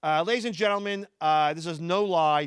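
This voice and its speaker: The speaker talks at a moderate pace with ordinary pitch variation on a very clean recording with a silent background. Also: man. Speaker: stand-up comedian. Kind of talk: stand-up. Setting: stage with audience.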